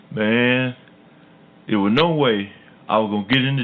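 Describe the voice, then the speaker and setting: Noticeable background noise runs under this recording. The man talks at a moderate pace. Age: 70s. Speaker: podcast host. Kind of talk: interview storytelling. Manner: animated.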